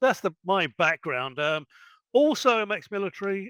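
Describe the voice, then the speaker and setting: In an English accent, the speaker talks at a moderate pace with lively intonation, the sound dry and close with no echo and the background silent on a very clean recording. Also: man. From England. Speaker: ex-military tech worker and online store owner. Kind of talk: interview.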